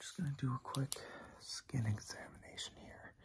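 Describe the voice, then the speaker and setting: A man whispers. He speaks at a moderate pace. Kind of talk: role-play medical exam, soft-spoken. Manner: soft close-up ASMR murmur. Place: home room. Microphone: phone near.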